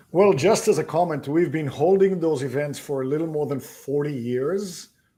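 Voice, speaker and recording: In a very clean recording with a silent background, a man speaks in a fairly high pitch with a dark, mellow tone. His pace is moderate and his pitch variation ordinary. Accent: slight non-native. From abroad. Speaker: real estate investment executive. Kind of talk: interview.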